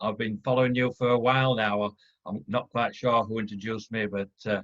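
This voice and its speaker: Pitched in a medium range, a man speaks at a fairly quick pace. His intonation stays monotone and flat. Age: 60s. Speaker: webinar participant sharing ET contact story. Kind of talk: testimony. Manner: halting.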